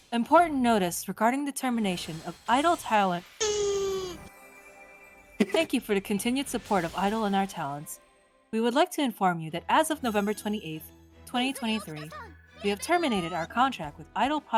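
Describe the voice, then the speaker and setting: A woman does a put-on, robotic character voice at a fairly high pitch, with very wide pitch swings and a fairly quick pace. She leaves long, frequent pauses while faint music plays in the background. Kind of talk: formal announcement.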